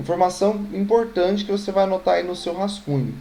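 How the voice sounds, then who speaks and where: Amid audible room echo, a man speaks at a fairly quick pace in a dark, mellow tone. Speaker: math teacher. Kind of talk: online lecture. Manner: fast.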